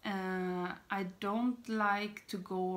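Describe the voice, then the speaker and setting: A woman's bright, sharp tone with a Swedish accent. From Sweden. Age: 30s. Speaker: beauty vlogger. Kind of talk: casual talk to camera. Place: home room. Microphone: phone near.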